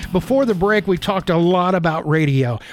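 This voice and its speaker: A man with an animated, playful tone and lively intonation at a moderate pace. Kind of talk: radio DJ patter, upbeat break-tease into a segment. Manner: bright, animated, playful showman cadence with a wink to listeners.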